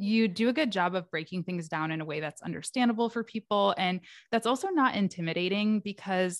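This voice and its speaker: A woman speaks at a fairly quick pace in an unremarkable speaking voice, medium in pitch with ordinary pitch variation. The sound is dry and close, with no echo. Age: 30s. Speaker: podcast host and online educator. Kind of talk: casual interview chat.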